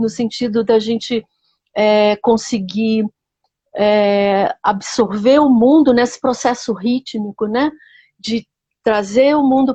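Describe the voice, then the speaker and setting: A woman's fairly high, dark and mellow voice moves at a very slow pace with fairly even intonation, captured with a dry, close sound and no echo. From Rio de Janeiro, Brazil. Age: 60s. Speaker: biographical counselor. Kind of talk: interview.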